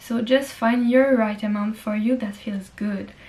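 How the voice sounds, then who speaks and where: The speaker has a French accent and a monotone, flat intonation. The pace is moderate. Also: woman. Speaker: lifestyle vlogger. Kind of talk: casual vlog monologue. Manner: hesitant, with fillers.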